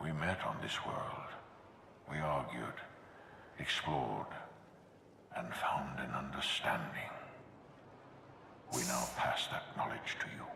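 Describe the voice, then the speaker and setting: A whispering, put-on character voice moves at a fairly slow pace with long, frequent pauses. There is a clear echo. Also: man. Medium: video game. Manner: grave, commanding.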